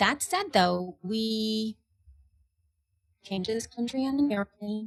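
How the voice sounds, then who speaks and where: A woman speaks very slowly in a fairly high, somewhat breathy voice. The sound is dry and close, with no echo. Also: ordinary pitch variation. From El Salvador, moved to US at nine. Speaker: podcaster and podcast mentor. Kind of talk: interview conversation. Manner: animated, halting with self-corrections.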